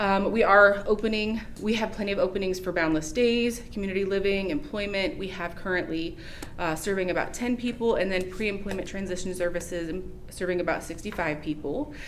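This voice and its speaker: A woman of medium pitch speaks at a fairly quick pace with ordinary pitch variation. Noticeable background noise and audible room echo surround her voice. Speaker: nonprofit agency representative. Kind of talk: agency update presentation at public meeting. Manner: fast.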